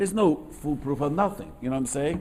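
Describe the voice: A man talks at a fairly quick pace with lively intonation. His voice is fairly high in pitch and slightly mellow in tone.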